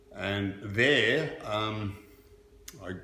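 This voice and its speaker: With an Australian accent, a man speaks in a fairly low pitch amid noticeable background noise and audible room echo. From Australia, Melbourne. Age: 70s. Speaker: former handball champion. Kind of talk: interview.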